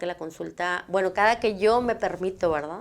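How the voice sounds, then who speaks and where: A woman with an unremarkable speaking voice talks at a medium pitch and a fairly quick pace. Her pitch variation is ordinary. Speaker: psychologist, TV show host. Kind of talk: talk show answering viewer questions.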